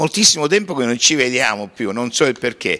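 Lively intonation marks this man's bright, sharp tone. The background is quiet. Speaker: television interviewer, host. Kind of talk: casual interview. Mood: warm, devout. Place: church. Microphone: handheld.

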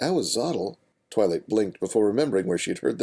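Over a quiet background, the words come as plain reading aloud.

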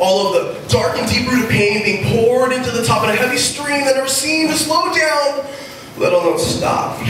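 A man's extremely high-pitched voice, animated in tone, with lively intonation at a moderate pace, plus strong room echo and light background noise. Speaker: slam poet. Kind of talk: slam poetry performance, rhythmic rhymed spoken word to a live audience. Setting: stage with audience at a music venue. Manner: animated, rhythmic, emphatic, repeating words for effect and varying speed; earnest, confessional, intense in the emotional passages. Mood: heavy, emotional subject. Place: stage.

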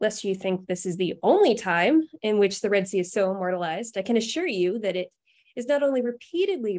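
A woman at a fairly quick pace, with a quiet background. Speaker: speaker. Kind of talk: lecture. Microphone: webcam.

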